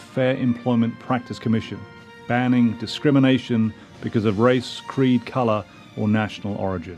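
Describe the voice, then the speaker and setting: A man speaks at a medium pitch and a fairly quick pace. Music plays in the background. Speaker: podcast host. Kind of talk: podcast introduction.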